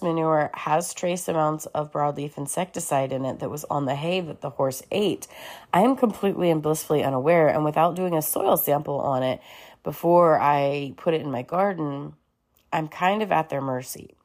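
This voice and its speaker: At a moderate pace and with ordinary pitch variation, the voice comes through on a very clean recording with a silent background. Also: woman. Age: 30s. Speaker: podcast host and urban farmer. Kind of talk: solo podcast talk.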